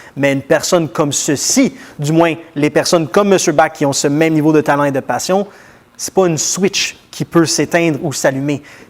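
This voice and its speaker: A man's fairly high voice with ordinary pitch variation at a moderate pace, over noticeable background noise. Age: 30s. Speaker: TV interviewer. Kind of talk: interview.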